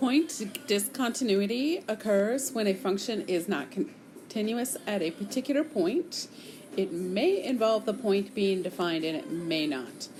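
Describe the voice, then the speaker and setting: A fairly slow, fairly high-pitched woman's voice with very wide pitch swings and audible room echo. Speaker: math teacher. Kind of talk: lecture.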